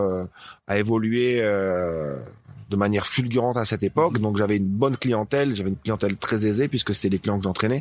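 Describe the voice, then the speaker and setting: A man with an ordinary speaking voice talks at a fairly quick pace in a fairly low pitch, with ordinary pitch variation, on a very clean recording with a silent background. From northern France, Dunkerque. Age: 40s. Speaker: CrossFit gym owner. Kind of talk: casual interview.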